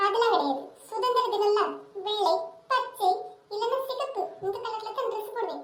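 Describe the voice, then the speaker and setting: Squeaky and extremely high-pitched, a woman puts on a cartoonish character voice with a slight echo around it. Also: moderate pace. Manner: sharp, bossy.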